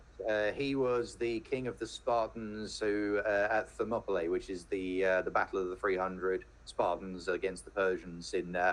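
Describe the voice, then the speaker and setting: A man in a British accent at a moderate pace, with hardly any pauses. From England, home counties. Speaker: venture capitalist, podcaster. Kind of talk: casual interview chat. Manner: halting, many repeated words.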